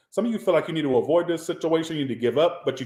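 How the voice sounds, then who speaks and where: This man's voice sits fairly high in pitch. His pitch varies in an ordinary way. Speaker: tarot reader. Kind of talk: tarot reading.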